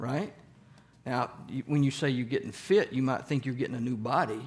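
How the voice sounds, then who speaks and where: In a very clean recording with a silent background, a man with a Southern US accent talks at a fairly high pitch. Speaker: church Bible study teacher. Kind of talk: interactive Bible study lesson. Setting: church group with audience. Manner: speeds up when excited; conversational, asks audience questions.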